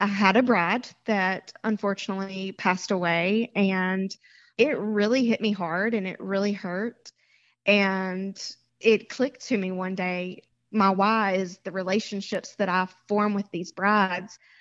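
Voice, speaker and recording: In a Southern US accent, a woman talks at a fairly slow pace with a medium pitch and fairly even intonation against a quiet background. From Mississippi. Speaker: bridal shop owner. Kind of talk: interview.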